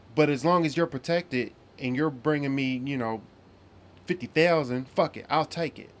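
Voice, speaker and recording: A man with a plain, everyday voice talks at a moderate pace in a fairly high pitch. His pitch varies in an ordinary way while his loudness swings widely. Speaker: podcast co-host. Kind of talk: casual chat.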